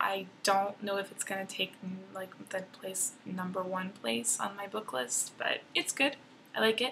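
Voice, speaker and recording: At a moderate pace, a woman speaks with a bright, sharp tone at a medium pitch. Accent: American. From Texas, Dallas area. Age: 20s. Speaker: college student vlogger. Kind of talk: casual vlog introduction.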